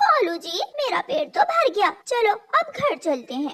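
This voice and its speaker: A cartoonish character voice from a woman, extremely high-pitched, with very wide pitch swings at a moderate pace. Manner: harsh, bossy.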